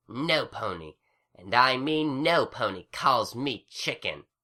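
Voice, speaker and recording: A man puts on a hissing, growling character voice at medium pitch and a fairly slow pace, on a very clean recording with a silent background. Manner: hissing, menacing.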